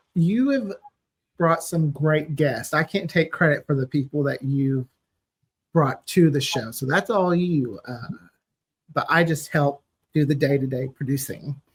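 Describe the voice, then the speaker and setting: A man's fairly high, somewhat breathy voice with ordinary pitch variation, a fairly slow pace, and long, frequent pauses. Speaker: podcast producer. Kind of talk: casual chat.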